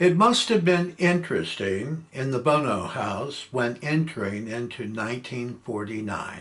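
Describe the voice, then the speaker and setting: At a very slow pace, a man with an American accent talks with very wide pitch swings. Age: 70s. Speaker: family historian. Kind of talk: reading aloud.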